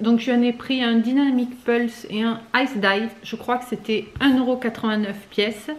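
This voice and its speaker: A woman at a fairly high pitch, flat and monotone, with hardly any pauses and noticeable background noise. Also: fairly slow pace. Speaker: vlogger. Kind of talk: casual vlog chat.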